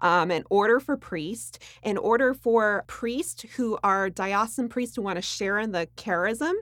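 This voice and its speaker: This woman has a normal speaking voice, fairly high in pitch with ordinary pitch variation, and she talks at a fairly slow pace with hardly any pauses. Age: young. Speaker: actress. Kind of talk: interview. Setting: studio.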